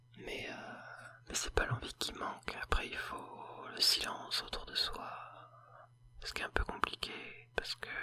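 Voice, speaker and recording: Someone whispers at a fairly slow pace, with long, frequent pauses, big swings in loudness and noticeable background noise. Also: man. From Paris, France. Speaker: ASMR video creator. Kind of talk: casual talk to camera. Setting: home recording with a sensitive microphone.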